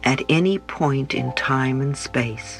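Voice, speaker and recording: The voice is soft-spoken with a gentle tone. Music plays in the background. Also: woman. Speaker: meditation guide. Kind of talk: guided sleep meditation. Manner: gentle, soft-spoken.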